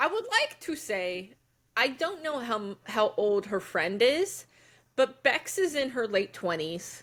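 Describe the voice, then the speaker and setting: A fairly high-pitched woman's voice at a very slow pace. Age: 30s. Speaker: podcast co-host. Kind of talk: casual chat.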